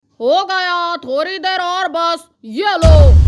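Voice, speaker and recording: Faint music plays behind a cartoonish character voice delivered at a fairly slow pace. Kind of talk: comic cartoon acting.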